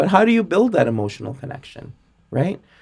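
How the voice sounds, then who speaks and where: The voice comes across as somewhat breathy. Its pitch rises and falls in very wide swings. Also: man. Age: 40s. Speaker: sales and customer experience expert. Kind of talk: podcast interview.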